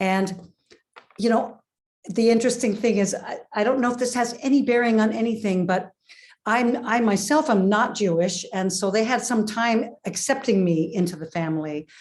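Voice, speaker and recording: A woman's fairly high, somewhat breathy voice at a moderate pace, with ordinary pitch variation and a quiet background. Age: 60s. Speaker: caller. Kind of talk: casual chat. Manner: halting.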